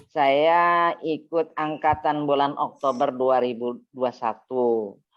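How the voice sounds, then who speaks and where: Speaking at a very slow pace, a woman uses a very deep, low pitch with ordinary pitch variation. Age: 60s. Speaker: Quran class student. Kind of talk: self-introduction in online class. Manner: hesitant, many fillers.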